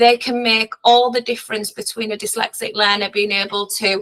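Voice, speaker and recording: A woman with a Hull accent speaks at a moderate pace and fairly high pitch. Her bright, sharp tone stays monotone and flat in a dry, close recording with no echo. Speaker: dyslexia specialist teacher. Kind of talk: training webinar presentation. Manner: halting, many fillers.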